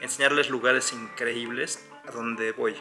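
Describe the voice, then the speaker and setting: Over clear background music, a man talks at a fairly slow pace with ordinary pitch variation. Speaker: travel vlogger. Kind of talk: casual talk to camera. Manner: stuttering. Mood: calm, earnest. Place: home room. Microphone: phone near.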